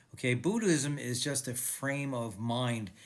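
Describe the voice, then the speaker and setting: A man with a plain, everyday voice talks at a fairly slow pace, his medium pitch showing ordinary variation. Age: 60s. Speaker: video blogger and author, cancer survivor. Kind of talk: casual talk to camera.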